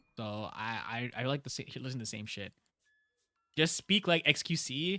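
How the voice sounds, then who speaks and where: With music in the background, the speech has lively intonation and big swings in loudness. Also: man, medium pitch for a man, dry, close sound with no echo. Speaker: streamer. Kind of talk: casual chat. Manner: fast; stumbling, repeats words.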